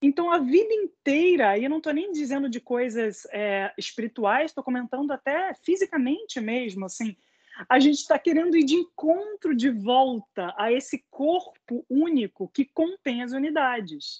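A woman talks at a moderate pace with a high voice and very wide pitch swings, leaving hardly any pauses. The sound is dry and close, with no echo. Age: 30s. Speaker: music educator. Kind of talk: online panel conversation.

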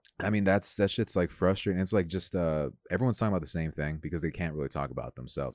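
A man rattles along at a very fast pace with an American accent. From Los Angeles, California. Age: 20s. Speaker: comedian. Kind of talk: casual chat. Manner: animated.

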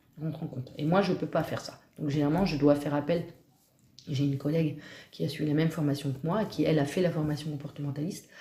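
A woman speaks at a very fast pace in a very deep, low voice, somewhat breathy and dark and mellow in tone, with fairly even intonation. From Normandy, Cotentin. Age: 40s. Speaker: dog trainer. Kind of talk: interview. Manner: hesitant.

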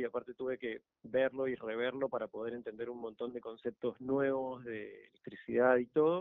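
A man's normal speaking voice at medium pitch and a moderate pace. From Argentina. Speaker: electric car conversion hobbyist. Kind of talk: radio interview.

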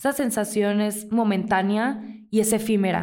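A woman speaks at a fairly slow pace with a dark, mellow tone and monotone, flat intonation, amid audible room echo. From Mexico, Mazatlán (Sinaloa). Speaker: podcast host. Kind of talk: casual solo monologue, self-help advice.

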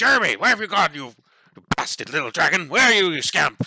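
This is a put-on character voice. It moves at a very fast pace. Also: man, high pitch for a man. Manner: fussy, scolding, calling out.

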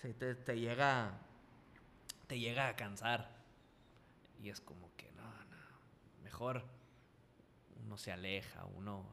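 With a Sinaloan accent and audible room echo, a man at a medium pitch speaks very slowly with long, frequent pauses, fairly even intonation and big swings in loudness. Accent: Sinaloan Mexican Spanish. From Mexico, Culiacán, Sinaloa. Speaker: professional wrestler and radio host. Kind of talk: casual interview chat.

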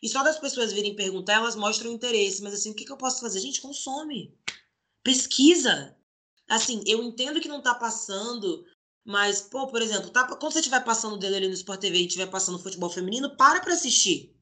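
The speaker is a woman with a fairly high pitch and a bright, sharp tone. She talks at a fairly quick pace. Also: lively intonation. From Brazil, Salvador (Bahia), then Rio de Janeiro from age 12. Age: 20s. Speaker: professional basketball player. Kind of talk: interview.

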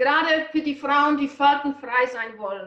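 With a Czech accent and ordinary pitch variation, a woman speaks at a high pitch. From Czech Republic. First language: Czech (speaking German). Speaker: nutrition coach. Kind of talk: interview.

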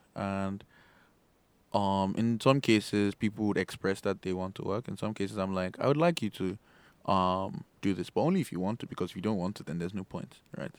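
On a very clean recording with a silent background, a man with a plain, everyday voice talks at a fairly quick pace, fairly low pitch and ordinary pitch variation. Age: 20s. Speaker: software developer and startup founder. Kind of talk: interview. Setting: studio.

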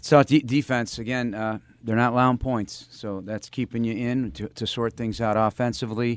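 A man with a normal speaking voice talks at a medium pitch and a moderate pace with hardly any pauses, in a dry, close sound with no echo. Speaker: radio host. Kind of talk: radio show interview. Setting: studio.

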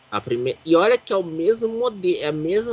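At a fairly quick pace, a man with a high pitch talks in a dry, close sound with no echo. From Brazil, Pindamonhangaba (São Paulo state). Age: 30s. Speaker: motorsport podcast host. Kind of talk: casual chat.

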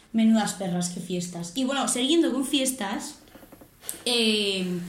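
A woman at a medium pitch with ordinary pitch variation, amid noticeable background noise and audible room echo. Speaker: podcast co-host. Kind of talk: casual chat.

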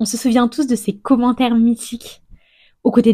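Somewhat breathy and dark, mellow in tone, a woman's voice comes through. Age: 30s. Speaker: podcast host. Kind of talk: interview; scripted narration.

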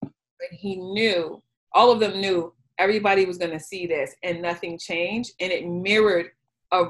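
With an American accent and a plain, everyday voice, a woman talks at a moderate pace at a medium pitch, her intonation fairly even. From Chicago, South Side. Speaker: career coach. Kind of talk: group discussion.

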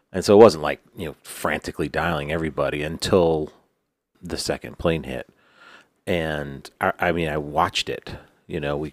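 On a very clean recording with a silent background, a man speaks at a moderate pace in a very deep, low voice with vocal fry and fairly even intonation, the sound dry and close with no echo. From New York. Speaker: podcast co-host. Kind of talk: casual chat. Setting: studio.

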